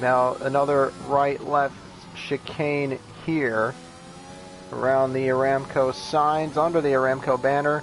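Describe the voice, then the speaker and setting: Music plays behind a man with an American accent and a fairly high pitch. He talks at a fairly slow pace with very even loudness. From United States. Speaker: sim racing commentator. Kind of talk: live commentary.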